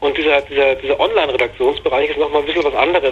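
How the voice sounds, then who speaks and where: A man rattles off his words very fast while noticeable background noise plays. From Bavaria, Germany. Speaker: games journalist. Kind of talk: interview. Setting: phone call. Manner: hesitant, many fillers.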